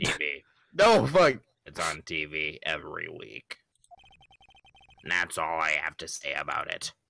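A man's put-on character voice, raspy and very deep, at a fairly slow pace, dry and close with no echo. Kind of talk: comic voice acting. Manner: curt, dismissive.

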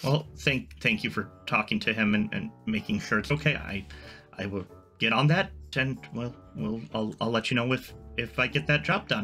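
A man's mumbling, put-on character voice at a medium pitch and fairly slow pace, with clear music in the background. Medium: actual play. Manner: hesitant, awkward, mumbling.

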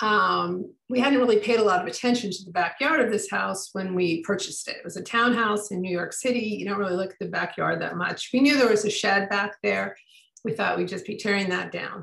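A woman with an American accent speaks at a fairly quick pace with hardly any pauses and big swings in loudness, with audible room echo against a quiet background. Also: ordinary pitch variation. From US Midwest. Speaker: author and historian. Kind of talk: book talk with slideshow. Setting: video call. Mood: warm, storytelling. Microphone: video call.

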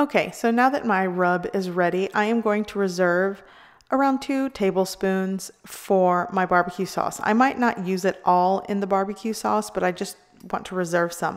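A woman talks at a moderate pace with ordinary pitch variation against a quiet background. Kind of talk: cooking tutorial. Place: kitchen.

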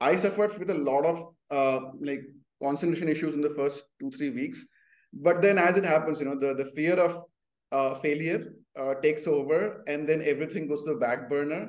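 This voice moves at a moderate pace with ordinary pitch variation. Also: man. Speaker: remote guest. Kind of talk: interview answer. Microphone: video call.

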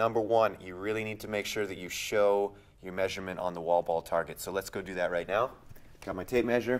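The speaker has an unremarkable speaking voice, talking at a fairly quick pace with fairly even intonation. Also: man. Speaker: coach or judge explaining rules. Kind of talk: tutorial.

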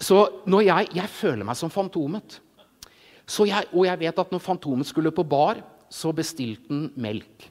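Over a quiet background, a man with high pitch speaks fairly slowly in an animated tone with lively intonation. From Norway, Jessheim (Romerike); Norway. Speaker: illustrator and preacher; preacher. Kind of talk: sermon. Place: stage. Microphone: handheld.

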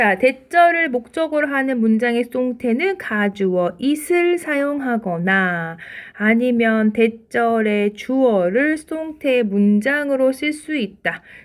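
A woman with a high pitch speaks at a very slow pace with lively intonation. The recording is very clean with a silent background. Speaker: English teacher. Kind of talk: lecture. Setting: screen recording.

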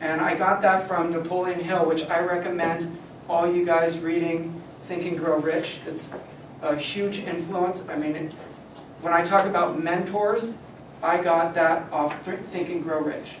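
A man speaks slowly-ish, at a fairly slow pace, with an American accent and a high pitch. His intonation is flat and monotone, with audible room echo and light background noise. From Southern California, Camarillo; Southern California. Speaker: business owner and former motocross racer; guest. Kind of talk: motivational talk to a student club. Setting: room with live audience. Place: classroom. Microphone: camera far.

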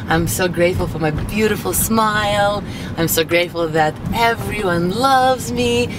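Against noticeable background noise, a woman talks fairly slowly. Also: dry sound with no echo. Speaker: motivational vlogger. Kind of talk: casual vlog chat. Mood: cheerful, upbeat. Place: car. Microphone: camera far.

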